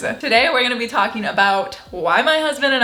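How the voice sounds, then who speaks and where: Noticeable background noise sits behind the recording. The woman's voice is high-pitched. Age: 20s. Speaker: lifestyle vlogger. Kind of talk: casual talk to camera.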